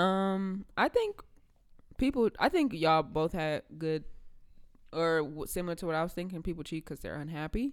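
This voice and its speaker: In a very clean recording with a silent background, a woman with a plain, everyday voice, pitched fairly low, speaks at a moderate pace with lively intonation. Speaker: podcast co-host. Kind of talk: casual chat.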